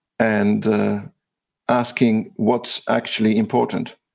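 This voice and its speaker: His accent is Australian. This man talks at a fairly slow pace. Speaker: innovation advisor and author. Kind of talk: interview.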